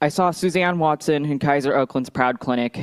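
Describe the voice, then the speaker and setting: A woman with an American accent speaks at a fairly quick pace with ordinary pitch variation, the sound dry and close with no echo. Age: 20s. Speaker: activist. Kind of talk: testimony. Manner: formal.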